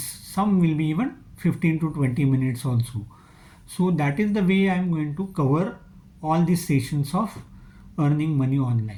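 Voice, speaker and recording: The voice has a dark, mellow tone and a Marathi accent. It moves at a moderate pace with ordinary pitch variation. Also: man. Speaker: online skills trainer. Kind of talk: channel introduction talk. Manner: hesitant with filler uh.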